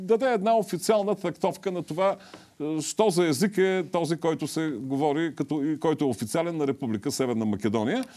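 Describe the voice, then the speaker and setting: A man talks at a high pitch with lively intonation. The background is quiet. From Bulgaria. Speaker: TV host and academic; TV show host. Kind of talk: TV talk show interview. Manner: halting, with filler sounds. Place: studio. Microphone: lapel.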